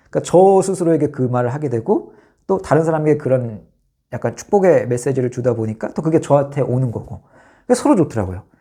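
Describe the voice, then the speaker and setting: Speaking at a very fast pace, a man with a fairly high pitch sounds somewhat breathy and uses lively intonation. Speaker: vlogger. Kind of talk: casual monologue.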